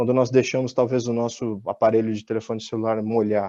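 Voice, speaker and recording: The tone is dark and mellow, with a dry, close sound, no echo, and a quiet background. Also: man. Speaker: industrial engineering speaker. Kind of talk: technical webinar talk. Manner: repeats words, hesitant fillers.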